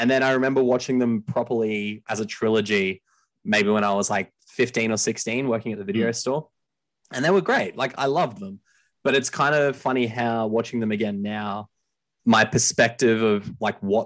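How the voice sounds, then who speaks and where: With an Australian accent, the speaker talks at a moderate pace with ordinary pitch variation against a quiet background. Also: man. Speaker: podcast host. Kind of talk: casual chat about movies.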